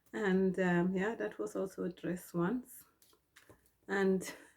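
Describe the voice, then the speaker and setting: Soft-spoken and very slow, a woman speaks at a medium pitch with ordinary pitch variation. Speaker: sewing vlogger. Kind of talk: casual tutorial vlog. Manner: hesitant, many ums.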